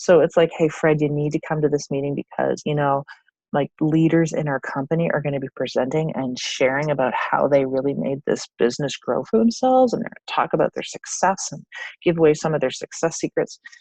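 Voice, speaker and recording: A woman talks at a fairly quick pace in a very deep, low pitch with ordinary pitch variation, the sound dry and close with no echo. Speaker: network marketing team leader. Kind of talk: training presentation. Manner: fast.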